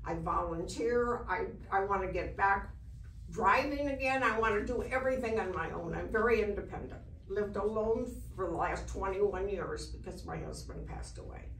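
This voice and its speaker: Audible room echo and noticeable background noise surround the voice. The delivery is moderately paced. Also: woman. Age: 80s+. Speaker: patient. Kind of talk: testimony. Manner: enthusiastic.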